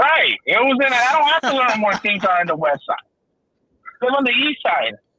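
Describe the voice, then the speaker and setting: Extremely high in pitch, a man uses a raised, projected voice at a moderate pace, with lively intonation and very even loudness. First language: Spanish. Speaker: podcast co-host. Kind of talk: casual chat.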